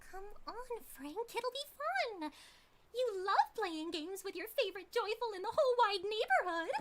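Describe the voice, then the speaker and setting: In a put-on character voice, a female-sounding speaker talks at a moderate pace with an extremely high pitch and a bubbly tone. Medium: game stream. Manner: bubbly, giggly, sing-song.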